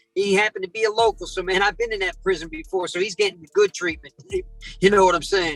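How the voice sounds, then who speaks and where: Over music in the background, a man with an American accent talks very fast in a high pitch with ordinary pitch variation, the sound dry and close with no echo. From South Jersey. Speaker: predator catcher and prank caller. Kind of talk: interview storytelling. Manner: animated.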